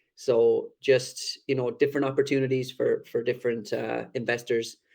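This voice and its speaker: In a strong Irish accent, a man speaks at a fairly slow pace on a very clean recording with a silent background. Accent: thick Irish. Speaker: crypto project team member. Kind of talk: AMA presentation.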